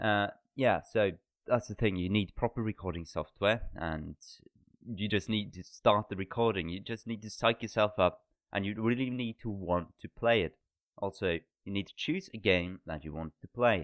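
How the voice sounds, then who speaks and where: A man with a Norwegian accent and a fairly low pitch. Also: ordinary pitch variation, moderate pace. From Norway. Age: 20s. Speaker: podcast co-host. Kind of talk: casual chat.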